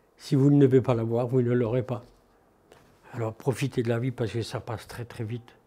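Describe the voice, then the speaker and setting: A man with a dark, mellow tone sounds somewhat breathy and speaks at a fairly quick pace. His intonation is monotone and flat, broken by long, frequent pauses. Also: medium pitch for a man. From northeastern France, Haute-Marne. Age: 70s. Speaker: retired shoemaker. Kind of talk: interview testimony, personal reminiscence.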